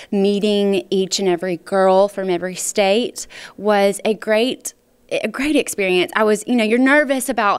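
With a Mississippi accent, a woman speaks against a quiet background. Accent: Southern US (Mississippi). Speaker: pageant titleholder. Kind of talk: interview. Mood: warm, upbeat.

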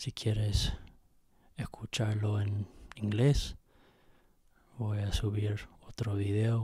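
Over a quiet background, a man with a fairly low, dark, mellow and somewhat breathy voice speaks very slowly in a flat monotone. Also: dry sound with no echo. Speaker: poet reading own poem. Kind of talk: poem reading. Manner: slow, measured, halting with hesitations. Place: home room. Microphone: handheld.

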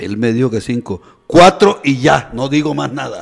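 A man's voice shows very wide pitch swings and vocal fry. Noticeable background noise runs underneath. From Colombia, Córdoba (Caribbean coast). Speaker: radio co-host, professor; radio talk show commentator. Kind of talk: news and opinion radio show. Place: studio. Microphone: studio mic.

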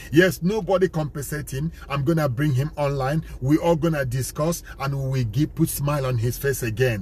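Hardly any pauses break this man's moderate pace, his fairly high pitch carrying ordinary pitch variation in a dry sound with no echo. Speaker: evangelist, foundation president. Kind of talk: sermon-style talk to camera. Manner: emphatic, preaching. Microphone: phone near.

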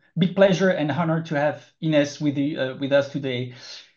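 The setting behind him is quiet. This man's intonation stays fairly even. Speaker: webinar host introducing speaker. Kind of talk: presentation introduction. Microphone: video call.

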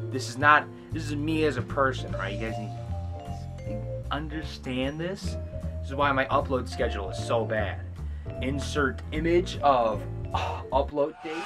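Clear music plays in the background. Over it, a man speaks with a very deep, low pitch. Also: fairly slow pace. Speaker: comedy film reviewer. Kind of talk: casual vlog chat.

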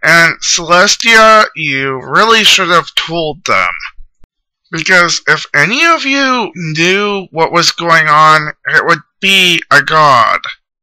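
A man's high-pitched put-on character voice at a very slow pace. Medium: machinima. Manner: casual, smug.

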